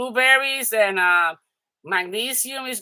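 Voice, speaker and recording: A woman's medium-pitched voice, bright and sharp in tone, with lively intonation. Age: 60s. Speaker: crafting and haul vlogger. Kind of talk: casual live chat with viewers. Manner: halting, many fillers and restarts.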